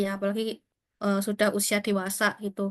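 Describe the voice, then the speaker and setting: A woman with a strong East Javanese accent talks at a fairly quick pace and fairly high pitch. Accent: strong East Javanese (medok) Indonesian. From Kediri, East Java, Indonesia. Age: 20s. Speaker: career talk speaker, scholarship alumna. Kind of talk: online career talk to students. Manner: casual, conversational with fillers.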